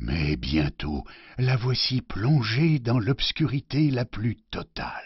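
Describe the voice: What you hear is plain reading aloud.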